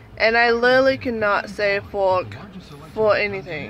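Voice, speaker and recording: A woman speaks at a fairly slow pace with a fairly high pitch and ordinary pitch variation. Noticeable background noise sits behind her. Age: 30s. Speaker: vlogger. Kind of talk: storytelling. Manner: casual, filler-heavy.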